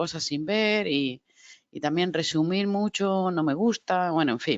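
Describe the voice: A woman with a fairly low pitch speaks at a moderate pace with ordinary pitch variation in a dry, close sound with no echo.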